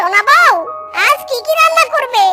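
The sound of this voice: A cartoonish character voice with a bright, sharp tone and lively intonation goes at a moderate pace while faint music plays in the background.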